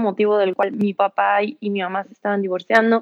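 A woman speaks at a moderate pace in an unremarkable speaking voice with a fairly high pitch. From Mexico, San Luis Potosí. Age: 20s. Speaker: yoga teacher in addiction recovery. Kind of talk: personal testimony. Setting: live stream.

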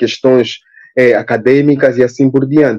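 With an Angolan accent, a man speaks at medium pitch in a dark, mellow tone. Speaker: linguistics graduate student. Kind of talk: panel discussion.

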